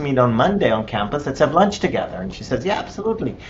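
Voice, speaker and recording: A man with an Israeli accent speaks with very wide pitch swings. Noticeable background noise is present. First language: Hebrew. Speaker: missionary. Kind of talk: interview answer.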